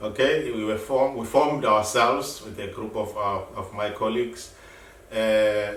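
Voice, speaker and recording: With noticeable background noise and audible room echo, a man speaks at a moderate pace in a fairly low pitch, his intonation fairly even but his loudness swinging widely. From South Africa. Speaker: activist, founder of an asylum seekers' group. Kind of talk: interview. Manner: halting, repeats words.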